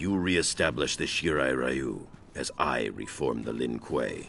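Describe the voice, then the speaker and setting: A man's put-on character voice, very deep and low, with ordinary pitch variation over clear background noise. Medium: video game. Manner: measured, solemn.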